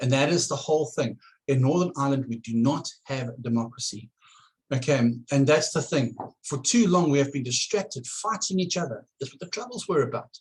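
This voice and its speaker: A man speaks at a fairly quick pace with a fairly high pitch, lively intonation, big swings in loudness and a somewhat breathy sound. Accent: South African. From South Africa. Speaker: political candidate. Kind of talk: campaign address to camera. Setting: at home. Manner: halting, many repetitions.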